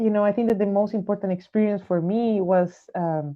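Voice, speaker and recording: Speaking at a fairly quick pace, a woman with a Spanish accent uses a medium pitch and fairly even intonation. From Chile. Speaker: jazz saxophonist. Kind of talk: interview. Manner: halting, many fillers.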